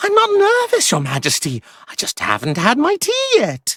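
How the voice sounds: A squeaky, cartoonish character voice. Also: moderate pace.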